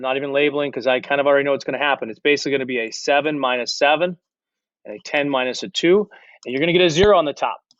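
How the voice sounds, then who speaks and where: A man speaks at a very fast pace. His fairly high voice shows ordinary pitch variation. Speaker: algebra teacher. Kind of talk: tutorial.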